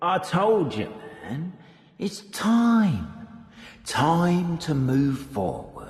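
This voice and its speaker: In a cartoonish character voice, a man speaks very slowly at a high pitch, with slight echo. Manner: cryptic, casual.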